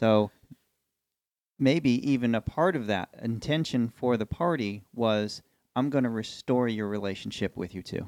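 In an unremarkable speaking voice of medium pitch, a man talks at a fairly slow pace, recorded dry and close with no echo. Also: ordinary pitch variation. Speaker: co-host. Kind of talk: casual chat about scripture. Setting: studio.

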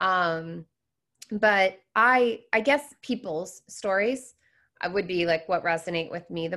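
A woman's bright, sharp voice at a medium pitch with an American accent, ordinary pitch variation and a fairly slow pace, on a very clean recording with a silent background. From US Pacific Northwest, Seattle. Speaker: business consultant. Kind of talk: interview.

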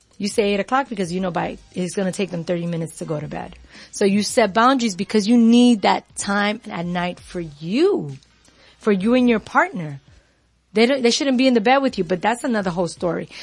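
A woman with an American accent, somewhat breathy and at medium pitch, lively in intonation and fairly quick in pace. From New York. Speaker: self-care coach. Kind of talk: casual radio chat. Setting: radio show.

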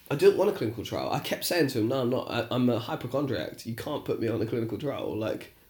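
Speaking very fast with hardly any pauses, a man uses a medium-pitched, somewhat breathy voice with ordinary pitch variation. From England. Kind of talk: casual banter chat, podcast. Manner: swearing, chatty, joking.

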